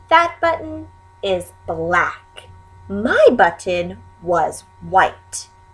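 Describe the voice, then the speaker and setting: A woman puts on a character voice at a very slow pace. Faint music can be heard behind her. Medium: read story.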